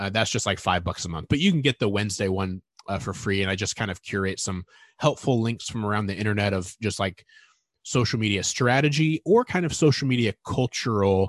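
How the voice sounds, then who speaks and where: Against a quiet background, a man talks in an ordinary speaking voice at a fairly low pitch. His pitch varies in an ordinary way. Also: dry, close sound with no echo. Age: 30s. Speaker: content marketing editor. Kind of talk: interview.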